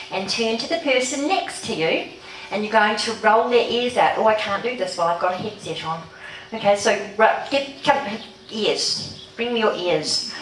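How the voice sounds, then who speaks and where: Over noticeable background noise and audible room echo, a woman speaks at a fairly slow pace with a fairly high pitch, an animated tone and lively intonation. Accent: New Zealand. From New Zealand. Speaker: holistic health practitioner and speaker. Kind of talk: workshop talk.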